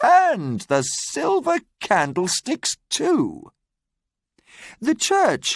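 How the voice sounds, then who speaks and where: A man's put-on character voice at a very slow pace, in a very clean recording with a silent background. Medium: read story. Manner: warm, gentle.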